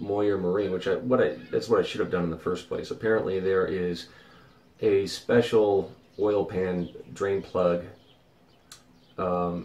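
A man with a fairly low voice talks in a room with audible echo. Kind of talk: casual vlog chat. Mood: mildly frustrated, reflective. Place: boat. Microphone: phone near.

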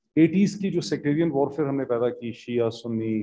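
In a quiet background, a man with a Pakistani accent speaks at a moderate pace with ordinary pitch variation. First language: Urdu. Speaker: seminar panelist; panelist. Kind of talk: panel discussion. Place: hall. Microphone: podium.

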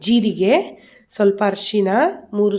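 Her tone dark and mellow, a woman speaks at a medium pitch. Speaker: cooking and family vlogger. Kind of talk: cooking tutorial.

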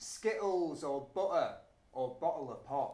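Speaking with a northern English accent, a man swings through a very wide pitch range amid audible room echo. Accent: northern English with glottal stops. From Yorkshire, northern England. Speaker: spoken word poet; spoken-word poet. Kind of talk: poetry performance. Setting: performance venue. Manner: rhythmic. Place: stage.

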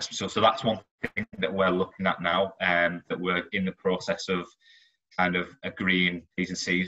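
Using monotone, flat intonation at a moderate pace, a man speaks with a very deep, low pitch. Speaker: recruitment manager; presenter. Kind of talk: presentation. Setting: video call. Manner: halting, many fillers and repetitions. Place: home room. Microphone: video call.

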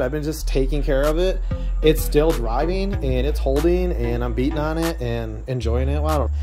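Clear background music behind a man talking. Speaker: car hobbyist vlogger. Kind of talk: casual vlog chat. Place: garage. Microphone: phone near.

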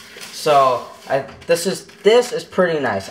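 A man talks with a high pitch. Light background noise can be heard. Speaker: vlogger. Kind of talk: casual vlog chat. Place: kitchen. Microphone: phone near.

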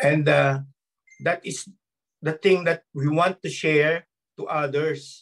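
A man with a fairly high pitch speaks at a very slow pace, leaving long, frequent pauses. His intonation stays fairly even against a quiet background. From Philippines. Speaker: former seaman, network marketer; speaker. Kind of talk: testimony. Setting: video call. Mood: earnest, grateful. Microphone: video call.

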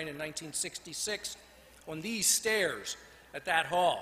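Over light background noise, a man speaks at a fairly high pitch with ordinary pitch variation. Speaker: design school faculty colleague; speaker. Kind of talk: toast. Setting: stage with audience. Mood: somber, reflective. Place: hall. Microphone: podium.

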